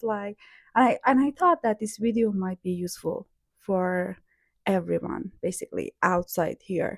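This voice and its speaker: With a Persian accent, a woman speaks at medium pitch and a fairly slow pace, using ordinary pitch variation, in a dry, close sound with no echo on a very clean recording with a silent background. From Iran (Hamedan, west). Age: 30s. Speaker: vlogger. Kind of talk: casual vlog talk to camera. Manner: hesitant, many fillers.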